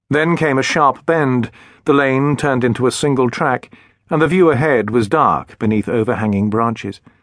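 Keeping his loudness very even, a man with an unremarkable speaking voice talks at a moderate pace and medium pitch. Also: ordinary pitch variation. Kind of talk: dramatic audiobook narration, first-person ghost story read aloud.

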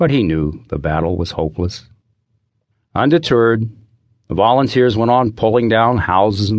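With an unremarkable speaking voice, a man speaks at a moderate pace in a fairly low pitch and lively intonation. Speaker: audiobook narrator and author. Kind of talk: dramatic audiobook narration of a historical disaster scene. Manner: vivid, suspenseful storytelling building tension through the fire.

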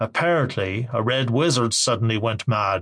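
The reading aloud is plain, with pitch that varies in an ordinary way.

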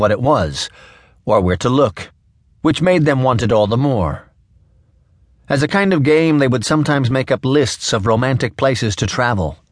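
A normal speaking voice from a man, lively in intonation and very even in loudness, at a moderate pace against a quiet background. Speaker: audiobook narrator. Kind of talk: scripted audiobook narration, literary fiction read aloud. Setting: studio.

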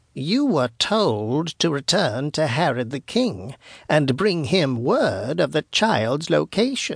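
Putting on a character voice, a man speaks slowly at a fairly high pitch with big pitch swings, a slightly husky edge, and vocal fry.

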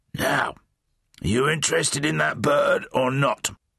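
Raspy and wheezy, a man's put-on character voice moves at a fairly slow pace. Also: fairly high pitch for a man. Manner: wheezing.

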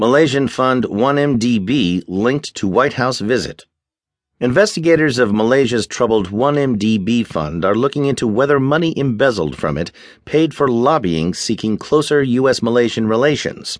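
A man's normal speaking voice at medium pitch, lively in intonation, at a moderate pace over a quiet background. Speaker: newsreader. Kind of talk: news reading. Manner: formal; steady, brisk headline delivery.

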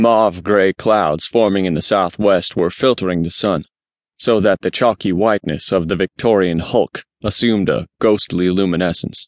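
A man speaks at a very deep, low pitch and a moderate pace, with fairly even intonation. The sound is dry and close, with no echo. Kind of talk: scripted audiobook narration, first-person mystery. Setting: studio. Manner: dramatic, measured, suspenseful.

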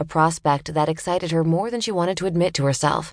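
A woman speaks at a fairly quick pace in a normal speaking voice, her pitch fairly low. The background is quiet. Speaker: audiobook narrator. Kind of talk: audiobook narration of a thriller, dramatic, with character voices.

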